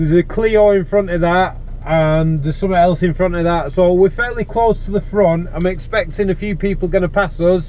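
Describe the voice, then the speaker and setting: A loud voice at a moderate pace, over noticeable background noise. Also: man. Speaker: amateur track day driver. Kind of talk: driving commentary vlog. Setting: in a car on race track, wearing helmet. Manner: loud, speaking up over helmet.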